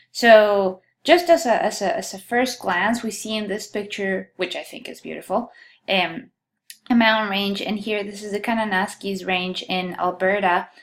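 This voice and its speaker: Someone with a Colombian accent talks at a moderate pace, and the loudness swings widely. The recording is very clean, with a silent background. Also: woman, medium pitch for a woman, ordinary pitch variation. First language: Spanish. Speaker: geology instructor. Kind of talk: lecture.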